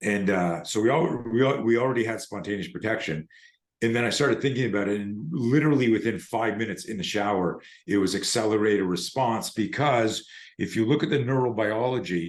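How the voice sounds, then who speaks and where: A normal speaking voice, a man of medium pitch talks at a fairly quick pace with ordinary pitch variation against a quiet background. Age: 60s. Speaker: self-defense instructor. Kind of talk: interview conversation.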